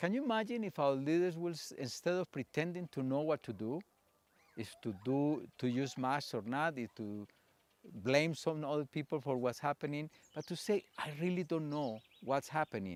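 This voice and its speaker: A man speaks with a Spanish accent at a fairly high pitch and a moderate pace. The sound is dry and close, with no echo. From Colombia. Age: 60s. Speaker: theatre practitioner and psychologist. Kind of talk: conference talk.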